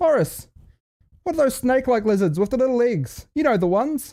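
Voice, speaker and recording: An animated voice in a New Zealand accent at a moderate pace. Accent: Kiwi twang. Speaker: podcast host. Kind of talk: comedic solo podcast monologue.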